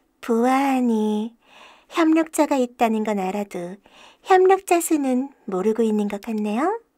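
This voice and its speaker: A put-on character voice, female-sounding and high-pitched, delivers lines with a smug tone. The pace is moderate. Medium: audio drama. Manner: smug, politely mocking.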